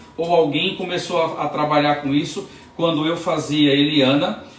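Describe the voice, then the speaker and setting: A man in an animated tone at a fairly slow pace, with audible room echo and noticeable background noise. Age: 60s. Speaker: hair prosthesis specialist and hairdresser. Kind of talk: product demonstration tutorial; motivational talk. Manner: animated, repetitive emphasis; halting with false starts.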